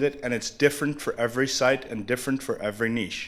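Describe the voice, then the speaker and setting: Very fast and with fairly even intonation, a man speaks at a medium pitch. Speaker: conference speaker. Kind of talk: conference talk.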